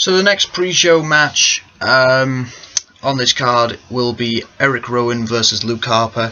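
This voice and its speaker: Noticeable background noise sits behind a man whose medium-pitched voice varies in an ordinary way. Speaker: wrestling fan video maker. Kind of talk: casual predictions monologue. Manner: loud.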